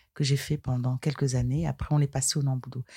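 A woman's very deep, low voice, dark and mellow, somewhat breathy, calm in tone and monotone with flat intonation, dry and close with no echo on a very clean recording with a silent background. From Cameroon, western region. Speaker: karate practitioner. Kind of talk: interview.

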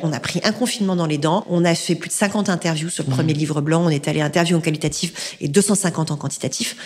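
Through noticeable background noise, a woman speaks at a fairly quick pace, her fairly low pitch showing ordinary variation. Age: 40s. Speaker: executive recruiter and podcaster. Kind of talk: interview.

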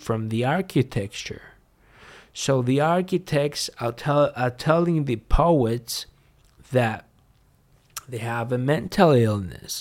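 In a very clean recording with a silent background, a man with a Greek accent speaks at a medium pitch and a very slow pace, leaving long, frequent pauses. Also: ordinary pitch variation. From Greece. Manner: halting.

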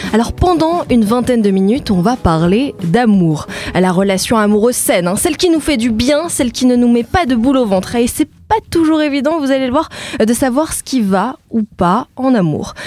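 Through noticeable background noise, a woman speaks at a moderate pace, her high pitch making very wide swings. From France, Indonesian-French family. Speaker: journalist and podcast host. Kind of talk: casual chat.

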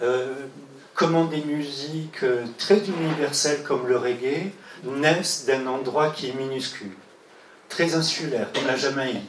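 A man with a fairly high pitch talks at a fairly slow pace with long, frequent pauses, amid noticeable background noise and audible room echo. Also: ordinary pitch variation. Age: 60s. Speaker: music journalist and activist. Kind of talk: testimony. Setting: LGBT community centre.

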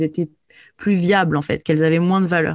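A woman's a normal speaking voice, fairly low in pitch with fairly even intonation, in a very clean recording with a silent background. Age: 30s. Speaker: influencer and emotional release coach. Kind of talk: interview.

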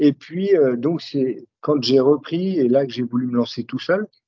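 Lively intonation carries speech that unfolds at a fairly slow pace. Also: man. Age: 40s. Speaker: leather craftsman and brand founder. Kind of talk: casual interview. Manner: halting, many hesitations.

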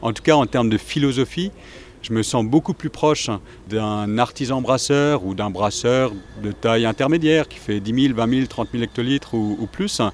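This man speaks with an ordinary speaking voice at medium pitch. His pace is moderate and his pitch variation ordinary. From Alsace, France. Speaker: brewery director. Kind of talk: interview. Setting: outdoors.

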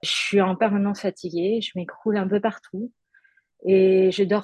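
A woman with a dark, mellow tone and a somewhat breathy voice speaks at medium pitch in a monotone, flat intonation at a fairly slow pace, the sound dry and close with no echo. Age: 30s. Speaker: art director, stroke survivor. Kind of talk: testimony. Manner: halting.

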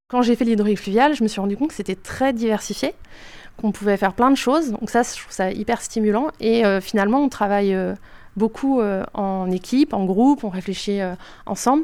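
A woman's plain, everyday voice, fairly high in pitch with ordinary variation, at a fairly quick pace, in a very clean recording with a silent background. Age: 30s. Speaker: hydraulic engineer. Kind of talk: interview.

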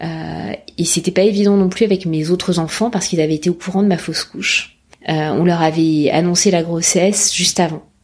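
This woman talks at a fairly quick pace, her fairly low voice moving in fairly even intonation. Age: 40s. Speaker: mother sharing her story. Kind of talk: testimony. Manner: halting, many fillers.

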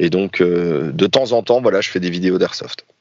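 This man's pitch is very deep and low. He keeps a moderate pace with ordinary pitch variation. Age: 30s. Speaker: YouTuber and airsoft player. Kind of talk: casual interview.

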